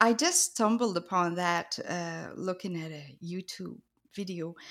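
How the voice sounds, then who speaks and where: Speaking with a French Canadian accent, a woman at medium pitch shows ordinary pitch variation on a very clean recording with a silent background. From New Brunswick, Canada (French-speaking). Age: 50s. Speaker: artist. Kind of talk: interview.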